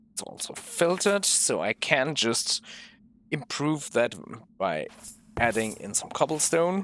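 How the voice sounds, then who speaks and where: Over music in the background, a man with a fairly high pitch speaks with very wide pitch swings, big swings in loudness, and long, frequent pauses. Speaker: gaming video creator. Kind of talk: gameplay walkthrough commentary. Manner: halting, self-correcting.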